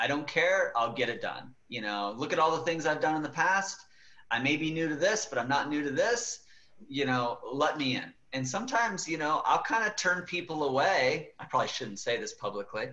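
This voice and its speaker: A plain, everyday voice at a moderate pace. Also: man, fairly high pitch for a man. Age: younger than 40s. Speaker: marketing executive and author. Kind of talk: podcast interview. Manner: casual with many fillers.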